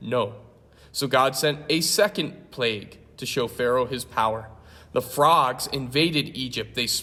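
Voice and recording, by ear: Words are read aloud in a natural voice.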